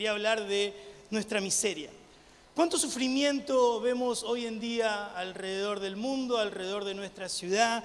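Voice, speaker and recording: A man with an Argentine accent speaks at a fairly slow pace, his pitch high and its variation ordinary, his loudness swinging widely. Noticeable background noise and audible room echo surround him. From Argentina. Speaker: missionary preacher. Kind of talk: sermon. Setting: church with congregation. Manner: animated.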